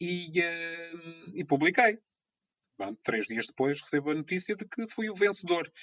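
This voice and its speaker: With a bright, sharp tone and high pitch, a man speaks with lively intonation and big swings in loudness. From Azores, São Miguel. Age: 30s. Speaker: radio presenter and amateur photographer. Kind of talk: casual chat.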